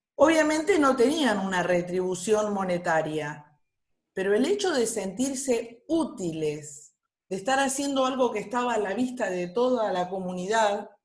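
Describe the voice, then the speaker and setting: Audible room echo surrounds a woman speaking at a fairly slow pace. Her fairly high voice is somewhat breathy, with very wide pitch swings. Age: 60s. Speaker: workshop participant, retiree. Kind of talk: online workshop discussion.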